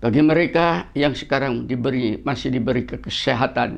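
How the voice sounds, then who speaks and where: Over a quiet background, a man speaks fairly slowly at medium pitch, with fairly even intonation and vocal fry. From Indonesia, East Java (Surabaya). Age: 70s. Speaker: professor and martial arts teacher. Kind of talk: religious lecture. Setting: outdoors.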